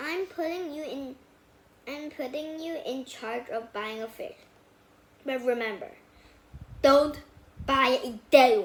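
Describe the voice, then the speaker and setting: A woman puts on a character voice and speaks at a very slow pace. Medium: read story. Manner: bossy, exclamatory.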